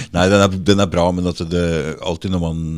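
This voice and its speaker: In an Oslo accent, a man with a very deep, low voice speaks in a flat monotone at a moderate pace, the recording very clean with a silent background. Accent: Oslo east-side dialect. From Norway, eastern Oslo area. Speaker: podcast host. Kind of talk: casual interview chat.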